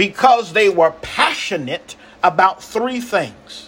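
A man speaks very slowly in a raised, projected voice at a high pitch. Noticeable background noise runs beneath him. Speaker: pastor. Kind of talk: sermon, rhythmic repetitive preaching flow with call-and-response. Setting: livestream to online audience. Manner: fervent and incantatory, repeating phrases in escalating cadence; exhorting, calls for audience amens.

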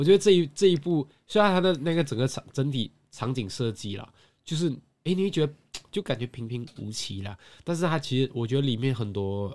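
Against a silent background in a very clean recording, a man of medium pitch talks at a fairly quick pace with very wide pitch swings. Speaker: podcast co-host. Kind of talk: casual chat. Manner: slurred articulation.

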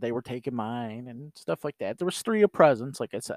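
An unremarkable speaking voice: a man at medium pitch with lively intonation and a fairly quick pace. The recording is very clean with a silent background, the sound dry and close with no echo. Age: 40s. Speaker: podcast host. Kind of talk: casual solo monologue. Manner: casual, with filler words.

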